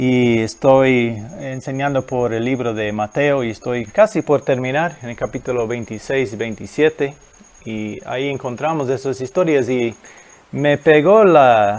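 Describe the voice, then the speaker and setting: The man's voice sits at a medium pitch with ordinary pitch variation. He talks at a fairly slow pace. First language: not Spanish (speaking Spanish). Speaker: guest preacher. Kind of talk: sermon. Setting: recorded video at home. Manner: halting.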